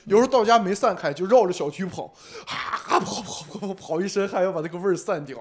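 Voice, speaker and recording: Over noticeable background noise, a man with a high, animated voice races along at a very fast pace, using ordinary pitch variation and big swings in loudness. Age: 20s. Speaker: stand-up comedian. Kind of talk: casual chat.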